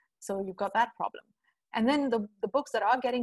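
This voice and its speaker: The woman's voice is somewhat breathy. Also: dry, close sound with no echo. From India. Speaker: writer and translator. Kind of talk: interview.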